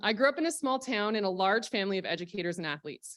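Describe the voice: Someone with a Canadian accent talks at a very fast pace with lively intonation. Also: woman. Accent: mild Canadian.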